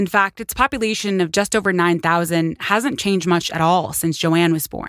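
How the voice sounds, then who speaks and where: In a very clean recording with a silent background and a dry, close sound with no echo, a woman with an unremarkable speaking voice talks at a moderate pace, fairly low in pitch, with ordinary pitch variation. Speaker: podcast host. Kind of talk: true-crime narration. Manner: measured, earnest storytelling; empathetic, conversational asides.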